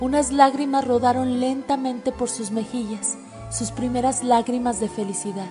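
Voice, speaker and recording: A woman's high voice at a moderate pace, fairly even in intonation, over music in the background. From Mexico. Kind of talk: audiobook reading of a novel. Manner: narrative reading.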